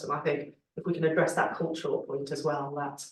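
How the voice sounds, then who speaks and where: The speaker talks at a fairly quick pace with a slight Scouse accent. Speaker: Labour Party politician. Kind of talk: panel discussion.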